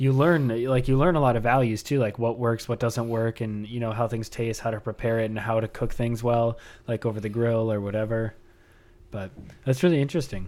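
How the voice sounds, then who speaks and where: With fairly even intonation and a medium pitch, a man goes at a fairly quick pace in an ordinary speaking voice. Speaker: podcast host. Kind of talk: casual interview chat.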